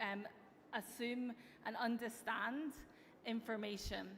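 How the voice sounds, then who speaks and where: Against noticeable background noise, a woman speaks with an American accent at a fairly high pitch. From Europe. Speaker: tech company executive. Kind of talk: conference keynote speech. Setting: stage with audience. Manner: some filler hesitations (um).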